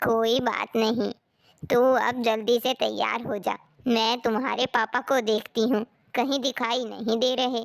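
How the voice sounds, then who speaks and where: A cartoonish character voice speaks in a flat monotone at a fairly slow pace. The sound is dry and close, with no echo. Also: woman, fairly high pitch for a woman, very even loudness. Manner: bustling, brisk.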